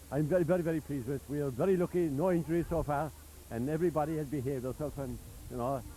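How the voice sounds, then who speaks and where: A man talks at a very fast pace with a fairly high pitch. His tone is dark and mellow, his intonation fairly even. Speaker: charity branch chairman and event organiser. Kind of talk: on-location interview. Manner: halting, with many fillers.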